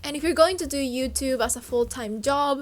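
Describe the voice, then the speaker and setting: Music plays in the background as a woman speaks with a Spanish accent. Her pitch varies in an ordinary way. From Uruguay. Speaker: fashion YouTuber. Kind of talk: casual vlog monologue.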